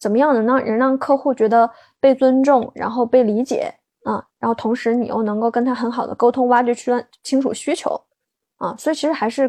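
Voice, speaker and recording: With a dark, mellow tone and high pitch, a woman speaks fairly quickly and with fairly even intonation. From Sichuan, China. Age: 20s. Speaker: insurance broker, former product manager, podcast host. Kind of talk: interview answers. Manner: halting, many fillers and repetitions.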